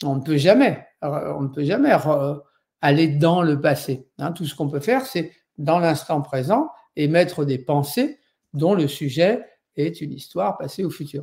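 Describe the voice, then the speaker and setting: Over a silent background in a very clean recording, a man talks with a fairly high pitch and ordinary pitch variation. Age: 60s. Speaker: Buddhist meditation teacher. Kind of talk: lecture. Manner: halting, many fillers.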